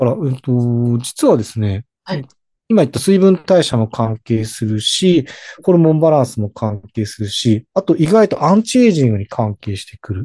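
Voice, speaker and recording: Somewhat breathy with a dark, mellow tone, a medium-pitched man speaks at a moderate pace with very wide pitch swings, in a dry, close sound with no echo. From Hokkaido, Japan. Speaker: herbal pharmacist. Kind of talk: explanatory interview.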